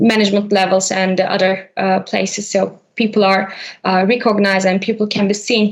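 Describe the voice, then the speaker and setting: In a Turkish accent, a woman talks fairly quickly at medium pitch with very even loudness. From Turkey. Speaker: HR implementation consultant. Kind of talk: podcast interview. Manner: hesitant, many fillers.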